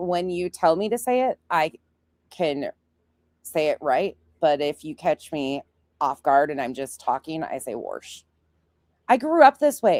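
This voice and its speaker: A woman with a North Dakota accent, fairly low in pitch and fairly slow, with long, frequent pauses, very wide pitch swings and big swings in loudness, on a very clean recording with a silent background. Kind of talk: casual.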